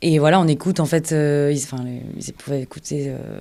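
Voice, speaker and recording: The recording is very clean, with a silent background. A dark, mellow tone moves at a moderate pace with fairly even intonation. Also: woman. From Var, southern France. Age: 20s. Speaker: voice-over actress. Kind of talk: interview answer. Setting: studio.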